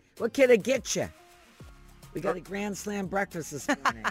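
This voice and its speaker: A man puts on a raspy, high-pitched character voice at a moderate pace. Faint music plays in the background. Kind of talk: cheerful, customer service.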